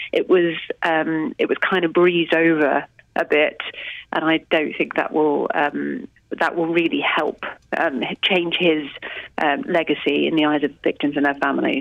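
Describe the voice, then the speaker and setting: A woman at a fairly slow pace, her loudness very even, with long, frequent pauses. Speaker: political reporter. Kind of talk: news reporting.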